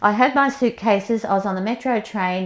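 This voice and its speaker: The voice carries an Australian accent with ordinary pitch variation. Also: woman. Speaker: movement and yoga teacher. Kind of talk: interview. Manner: fast; animated.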